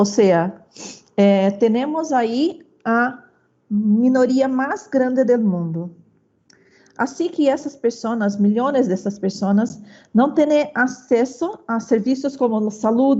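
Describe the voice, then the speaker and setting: A woman with a Brazilian accent talks at a very slow pace in a high voice with ordinary pitch variation. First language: Portuguese (speaking Spanish). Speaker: university researcher. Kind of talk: conference presentation. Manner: halting, many fillers.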